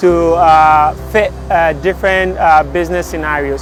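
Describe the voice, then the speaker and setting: The speaker has a Ghanaian accent with ordinary pitch variation. Noticeable background noise is present. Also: man. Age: young. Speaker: entrepreneur, inventor. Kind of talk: interview answer.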